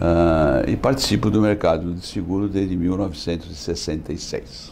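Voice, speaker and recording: Noticeable background noise surrounds a man with a very deep, low pitch who talks at a moderate pace with ordinary pitch variation. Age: 70s. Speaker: insurance executive. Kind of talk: interview.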